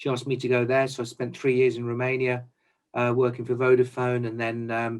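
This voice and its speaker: This man has an English Midlands accent and a medium pitch. He talks fairly quickly in a monotone, flat delivery. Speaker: chief procurement officer. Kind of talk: interview. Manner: hesitant, many fillers.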